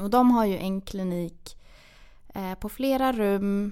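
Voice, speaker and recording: The recording is very clean and the background is silent. A woman talks at a medium pitch, with ordinary pitch variation. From Borlänge, Dalarna, Sweden. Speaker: dental student. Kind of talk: interview.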